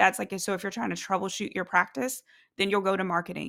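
Vocal fry colors a woman's animated, medium-pitched voice. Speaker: podcast host and private practice business coach. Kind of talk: solo podcast monologue, business coaching. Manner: animated, conversational.

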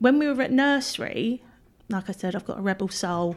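A woman with an English accent and lively intonation, in a very clean recording with a silent background. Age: 40s. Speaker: blogger. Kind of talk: interview. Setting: in person, room with a window.

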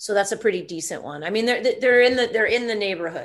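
A woman speaks at a very fast pace. She has an American accent. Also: quiet background. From US South, Atlanta, Georgia. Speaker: actor and comedian. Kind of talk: casual interview chat.

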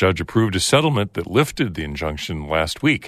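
Against a quiet background with a dry, close sound and no echo, a man with a very deep, low pitch speaks at a moderate pace, his pitch swinging very widely. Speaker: public radio host. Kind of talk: radio news hosting. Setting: studio.

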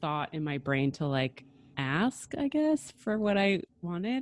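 In a very clean recording with a silent background and a dry, close sound with no echo, a woman with an unremarkable speaking voice talks at a fairly slow pace in a fairly low pitch. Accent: American. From US Northeast, New Jersey. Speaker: design magazine editor and podcast co-host. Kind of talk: casual interview.

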